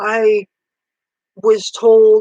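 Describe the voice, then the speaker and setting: A woman talks at a medium pitch with monotone, flat intonation. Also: dry, close sound with no echo. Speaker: vlogger. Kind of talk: casual monologue to camera.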